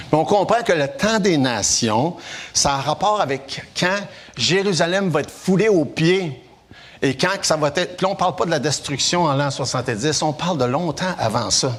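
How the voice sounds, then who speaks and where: A man's ordinary speaking voice at a moderate pace, fairly high in pitch, with lively intonation and very even loudness. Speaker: preacher. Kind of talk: sermon.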